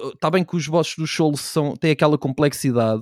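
A man with a plain, everyday voice, fairly high pitch and ordinary pitch variation, in a very clean recording with a silent background and a dry, close sound with no echo. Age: 20s. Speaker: gaming streamer. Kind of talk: casual chat.

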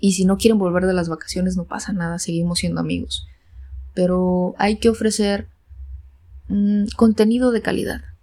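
Speaking at a moderate pace, the woman has a medium pitch, a dark, mellow tone, fairly even intonation and long, frequent pauses. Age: 20s. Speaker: podcast host. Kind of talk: solo podcast monologue.

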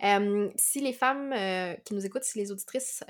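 A plain, everyday voice from a woman, medium in pitch, with ordinary pitch variation. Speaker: podcast host. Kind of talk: interview conversation.

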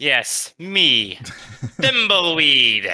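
This is a put-on character voice from a man. The pitch sits high. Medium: actual play. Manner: speaks of himself in third person.

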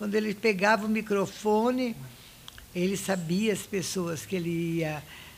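The pitch variation here is ordinary. There is audible room echo. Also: woman. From Brazil, São Paulo state interior (Monte Alto). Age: 80s+. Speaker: retired music teacher. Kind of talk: interview.

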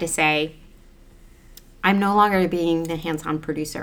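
In an American accent, a woman with a fairly low pitch talks at a moderate pace in a plain, everyday voice. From US Midwest, Cleveland area, Ohio. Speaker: event producer. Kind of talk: interview conversation.

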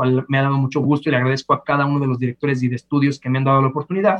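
A man's voice, fairly high-pitched for a man. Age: 30s. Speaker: voice actor and singer. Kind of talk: interview.

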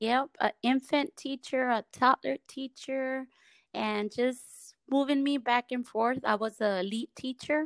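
A very clean recording with a silent background and a dry, close sound with no echo. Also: woman. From Texas and Ohio. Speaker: farm worker outreach representative. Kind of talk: interview. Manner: halting, many fillers.

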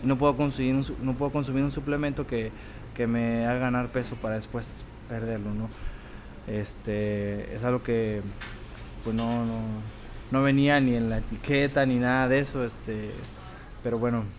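A man's medium-pitched, monotone and flat delivery at a moderate pace, broken by long, frequent pauses, with audible room echo. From Tepic, Nayarit, Mexico. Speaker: mixed martial arts fighter. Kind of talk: interview. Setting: restaurant. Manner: halting.

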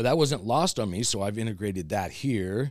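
A man with an American accent and an unremarkable speaking voice talks at a fairly quick pace, his pitch fairly low. His intonation is lively, and the recording is very clean with a silent background. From US West Coast (Los Angeles, California). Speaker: crystal shop owner and energy healer. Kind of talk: casual interview chat. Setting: in his crystal shop.

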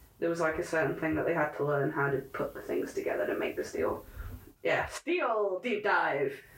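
Against noticeable background noise, a woman speaks at a moderate pace with very even loudness. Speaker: podcast co-host. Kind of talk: casual chat.

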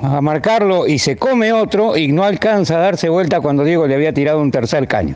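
A man with an Argentine accent, fairly high pitch and lively intonation, at a moderate pace amid noticeable background noise. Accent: Argentine Spanish (Rioplatense). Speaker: former amateur footballer. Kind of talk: anecdote.

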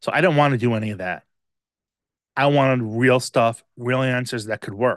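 A man talks at a moderate pace in a medium pitch. The sound is dry and close with no echo over a quiet background. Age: 50s. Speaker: podcast host. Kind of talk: personal monologue. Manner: hesitant with frequent filler words.

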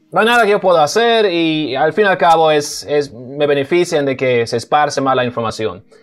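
A man's fairly high, plain, everyday voice moves at a moderate pace with lively intonation. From Germany, raised in Cibao, Dominican Republic from age 13. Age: young. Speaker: documentary maker and video producer. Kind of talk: casual interview. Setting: remote call.

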